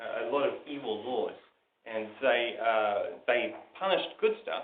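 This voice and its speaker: A man speaks with a New Zealand accent. His pitch is fairly high. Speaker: preacher. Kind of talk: sermon. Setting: live church recording, average quality.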